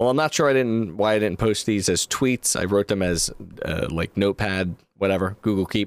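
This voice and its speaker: In an ordinary speaking voice, the speaker goes at a moderate pace with ordinary pitch variation and very even loudness, in a dry, close sound with no echo. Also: man, fairly low pitch for a man. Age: 30s. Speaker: podcast host. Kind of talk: solo podcast review.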